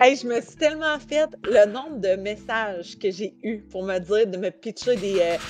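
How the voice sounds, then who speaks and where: A woman with a Quebec accent speaks in an animated tone with lively intonation. Her pace is fairly slow, with hardly any pauses. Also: big swings in loudness. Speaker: reality TV contestant. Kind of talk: interview.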